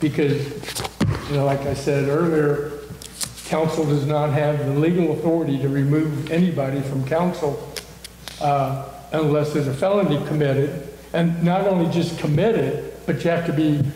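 Over light background noise and audible room echo, a man talks at a moderate pace. His intonation is monotone and flat. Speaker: mayor chairing a council meeting. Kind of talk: meeting discussion. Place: meeting room. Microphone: camera far.

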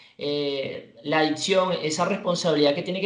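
A man with a Venezuelan accent, high-pitched, at a moderate pace and with fairly even intonation, plus audible room echo and light background noise. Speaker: radio announcer and sports anchor. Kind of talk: interview answer. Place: home room.

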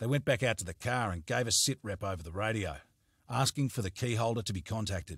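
The passage is read aloud plainly.

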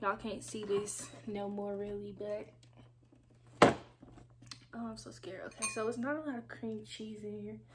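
A woman at a moderate pace amid loud background noise. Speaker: food vlogger. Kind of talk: casual vlog chat. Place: home room. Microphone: phone near.

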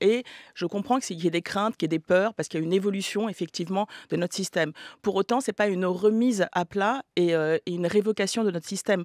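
Against a quiet background, a woman speaks at a very fast pace with ordinary pitch variation. The sound is dry, with no echo. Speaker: film producer. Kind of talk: radio panel debate. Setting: radio studio. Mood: measured, argumentative. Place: studio. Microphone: studio mic.

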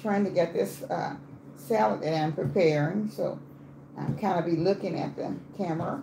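A woman's very deep, low voice at a moderate pace, with audible room echo and light background noise. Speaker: home cook live streamer. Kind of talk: casual live stream chat. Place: kitchen. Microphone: phone near.

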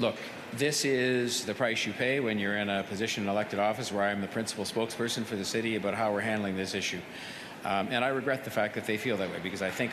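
Talking at a very fast pace, a man keeps his fairly low pitch on fairly even intonation. Noticeable background noise sits behind him. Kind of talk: press conference answer. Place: hall. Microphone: podium.

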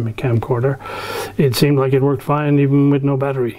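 Fairly even intonation marks this man's speech. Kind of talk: casual tutorial chat. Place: workshop.

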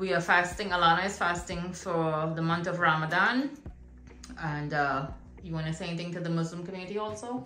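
With audible room echo and faint music in the background, a woman speaks in a fairly low pitch with ordinary pitch variation. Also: fairly quick pace. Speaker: home cook vlogger filming a relative. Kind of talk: casual vlog chat. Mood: cheerful, upbeat. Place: kitchen.

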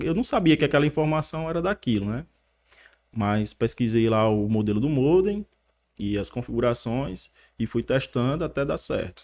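Male speech, moderately paced, with pitch that swings very widely. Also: quiet background. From Northeast Brazil (Paraíba), raised partly in São Paulo and Mossoró. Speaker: photographer. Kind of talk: casual interview. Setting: studio. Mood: relaxed, friendly. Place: studio. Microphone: studio mic.

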